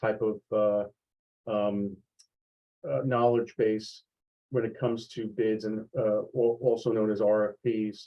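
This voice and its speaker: This man talks at a fairly slow pace with a New York accent. His delivery is monotone, with flat intonation. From New York, USA. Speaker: sales executive. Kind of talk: online training talk. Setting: video call. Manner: halting, many fillers.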